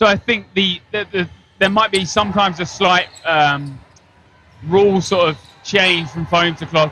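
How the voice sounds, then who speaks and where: With an Essex accent and a high pitch, a man speaks at a fairly slow pace with ordinary pitch variation over noticeable background noise. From Essex, England. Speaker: dodgeball player and guest commentator. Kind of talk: casual chat.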